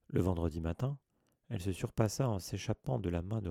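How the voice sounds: The surroundings stay quiet. Over them comes a natural reading voice.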